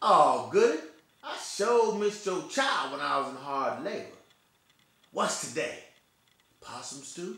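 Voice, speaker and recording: A man's put-on character voice, high-pitched and drawling, at a fairly slow pace with very wide pitch swings, big swings in loudness, long, frequent pauses and slight echo. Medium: stage play. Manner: drawling backwoods dialect.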